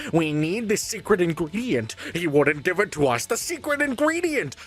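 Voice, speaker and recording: Putting on a character voice, a man speaks high-pitched at a moderate pace with very wide pitch swings over light background noise. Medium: solo performance. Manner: exaggerated, dopey.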